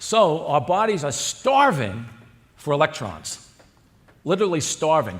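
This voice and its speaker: A man with a fairly high pitch and very wide pitch swings, vocal fry, a fairly slow pace and long, frequent pauses. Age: 60s. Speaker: cardiologist. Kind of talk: conference lecture.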